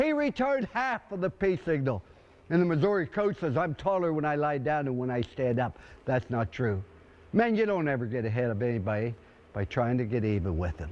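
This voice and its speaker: Here a man speaks with an energetic tone at medium pitch. His pitch swings very widely. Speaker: football coach. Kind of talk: halftime pep talk to a team. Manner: energetic, motivational, humorous.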